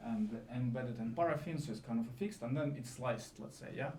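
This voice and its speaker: A man with a non-native accent, medium pitch and fairly quick pace, in audible room echo. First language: not English. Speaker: AI scientist in drug discovery. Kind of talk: conference talk. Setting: live event with audience. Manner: halting, many fillers.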